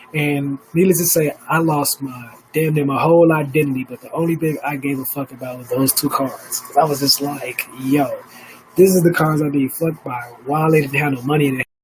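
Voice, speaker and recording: A man with an American accent talks at a fairly quick pace and a fairly high pitch. His loudness swings widely, and there is noticeable background noise. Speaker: live stream host. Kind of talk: casual live stream monologue. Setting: home studio, live stream. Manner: animated, profane; stuttering.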